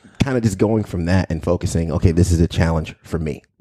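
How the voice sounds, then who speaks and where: A man talks at a very fast pace with a very deep, low pitch and ordinary pitch variation. His tone is dark and mellow, and the sound is dry and close with no echo. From New York, Long Island. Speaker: local TV news anchor. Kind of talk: casual interview. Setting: studio.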